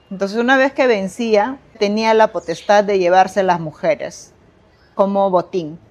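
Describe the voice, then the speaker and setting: A woman with an unremarkable speaking voice talks at medium pitch and a moderate pace, with ordinary pitch variation and very even loudness. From Bagua, Amazonas, Peru. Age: 40s. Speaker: poet, storyteller and translator. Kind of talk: interview answer.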